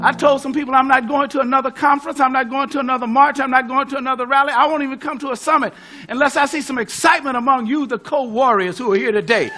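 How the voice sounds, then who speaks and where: Amid noticeable background noise, a man with an American accent and an extremely high pitch speaks in a raised, projected voice, very fast and animated, with hardly any pauses. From California. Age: 70s. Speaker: pastor and civil rights veteran. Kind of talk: rousing speech.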